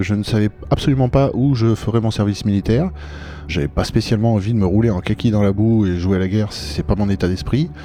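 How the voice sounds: A man's fairly low voice, dark and mellow in tone, at a fast pace. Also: ordinary pitch variation.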